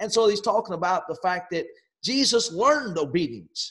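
A man keeps a moderate pace, and the background stays quiet. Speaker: preacher. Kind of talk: sermon. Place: home room. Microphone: webcam.

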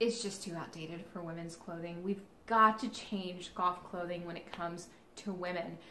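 A woman with an American accent, fairly low pitch and fairly even intonation at a moderate pace, amid audible room echo and light background noise. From Kansas City. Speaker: golf vlogger. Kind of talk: casual vlog monologue. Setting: in retail stores. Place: home room. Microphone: camera far.

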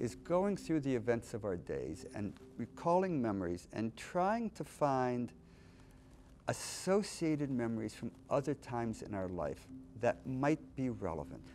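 A man's dark, mellow voice at a fairly slow pace, with very wide pitch swings and light background noise. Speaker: interviewee. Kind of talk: interview answer. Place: studio. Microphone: lapel.

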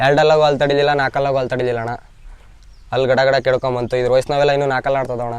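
A man at a medium pitch with monotone, flat intonation. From Karnataka village. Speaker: ram owner and fighting sheep keeper. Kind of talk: casual interview.

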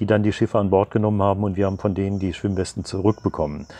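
In a dry sound with no echo, a man talks at a fairly low pitch with monotone, flat intonation. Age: 70s. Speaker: retired teacher, sailor and sea rescuer. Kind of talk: interview answer. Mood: calm, reflective, some hesitations. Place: garden. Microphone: lapel.

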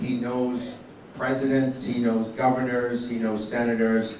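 Amid audible room echo and light background noise, a man speaks at a moderate pace in a monotone, flat intonation. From New England. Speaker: event emcee. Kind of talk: emceeing a political breakfast. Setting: stage with audience, microphone. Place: hall.

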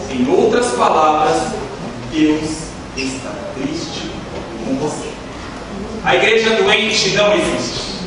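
Amid strong room echo and noticeable background noise, a man speaks at a very slow pace. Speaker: preacher. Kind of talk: sermon. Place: church. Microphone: camera far.

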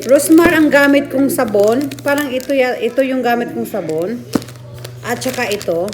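Over music in the background and audible room echo, a woman speaks at a moderate pace in a high voice with lively intonation. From Bohol, Philippines. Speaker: vlogger. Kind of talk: sales pitch; casual vlog chat. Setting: at home.

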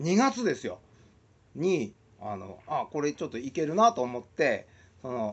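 Speaking at a fairly slow pace, a man with a fairly high pitch makes very wide pitch swings and big swings in loudness. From Shizuoka, Japan; Japan. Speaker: musician and video blogger; video blogger. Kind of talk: casual monologue vlog. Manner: hesitant with many fillers. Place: home room. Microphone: webcam.

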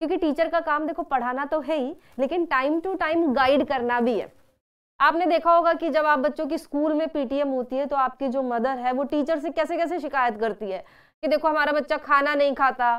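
This woman has a high-pitched voice. Her pitch varies in an ordinary way. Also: moderate pace, quiet background. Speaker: online school teacher. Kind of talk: live online class. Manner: animated. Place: studio.

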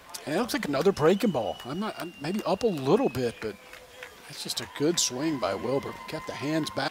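Against noticeable background noise, a man with a fairly high voice talks fairly quickly in a relaxed tone, his pitch swinging very widely. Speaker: color commentator. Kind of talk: conversational color analysis between plays. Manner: relaxed, reactive with quick exclamations.

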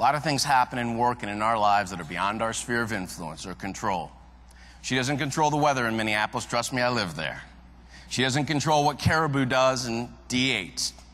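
This man speaks with an American accent and lively intonation. His pace is fairly quick. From Cleveland, Ohio; Ohio. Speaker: keynote speaker. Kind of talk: keynote speech. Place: hall. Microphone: lapel.

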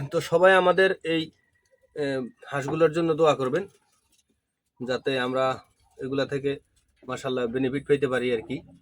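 A man has a normal speaking voice at a fairly high pitch. His pitch varies in an ordinary way. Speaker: farmer and village vlogger. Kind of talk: casual vlog talk to camera.

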